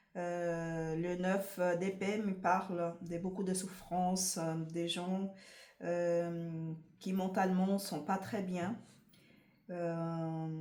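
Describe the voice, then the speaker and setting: Her fairly low voice moves at a very slow pace with monotone, flat intonation. Audible room echo surrounds this woman. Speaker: tarot reader. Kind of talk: tarot card reading to camera. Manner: hesitant, many fillers.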